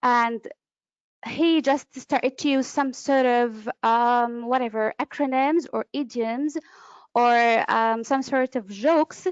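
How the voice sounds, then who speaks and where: A woman's voice comes in high in pitch at a very slow pace. Her intonation holds fairly even. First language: Arabic. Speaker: conference interpreter and trainer. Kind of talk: webinar lecture. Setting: online webinar. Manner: hesitant, with fillers.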